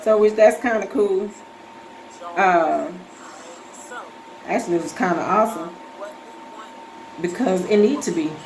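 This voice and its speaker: A woman with lively intonation, long, frequent pauses, audible room echo and noticeable background noise. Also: medium pitch for a woman, moderate pace. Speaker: vlogger with breast cancer. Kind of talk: casual vlog. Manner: soft-spoken; halting.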